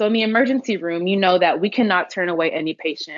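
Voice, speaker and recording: This woman has a normal speaking voice with an American accent. Her pitch is medium, with ordinary variation. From Houston, Texas. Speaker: emergency medicine physician. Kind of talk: podcast interview answer.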